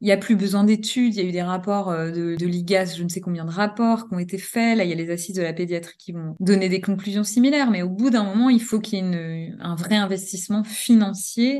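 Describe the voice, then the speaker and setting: A woman with a plain, everyday voice at medium pitch, fairly quick and with hardly any pauses, fairly even intonation but big swings in loudness. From Normandy, France. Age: 40s. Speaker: pediatric nurse and trainer. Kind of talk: interview.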